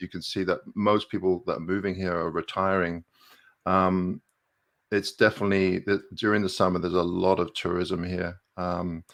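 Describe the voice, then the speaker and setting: Over a quiet background, a man with a very deep, low pitch speaks at a moderate pace in a monotone, flat way. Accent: slight English. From southern England, Milton Keynes. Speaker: landscape photographer and YouTuber. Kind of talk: casual interview on a live stream. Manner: hesitant, many fillers.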